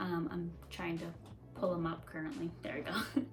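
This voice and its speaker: A woman speaks at a fairly slow pace, with music in the background and audible room echo. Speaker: book vlogger. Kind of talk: casual chat.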